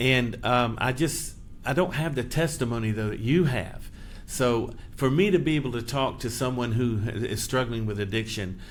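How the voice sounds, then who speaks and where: Audible echo from the room around a male voice with ordinary variation in pitch. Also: medium pitch for a man, moderate pace. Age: 60s. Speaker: podcast host, charity leader. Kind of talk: interview.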